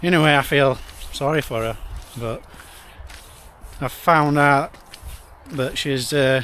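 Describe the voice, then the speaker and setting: With a Yorkshire accent, a man speaks at a fairly slow pace in fairly even intonation, leaving long, frequent pauses. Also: fairly high pitch for a man. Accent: Barnsley (Yorkshire). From northern England, Barnsley (South Yorkshire). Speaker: travel vlogger. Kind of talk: casual vlog talk to camera. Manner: rambling, repetitive stammering.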